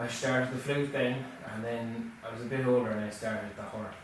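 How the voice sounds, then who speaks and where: The speaker has a northwest Irish accent and a monotone, flat intonation at a moderate pace. Noticeable background noise and audible room echo surround the voice. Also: man. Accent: rural northwest Irish. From northwest Ireland (Roscommon/Leitrim/Sligo). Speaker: folk musician. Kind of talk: casual interview. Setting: studio.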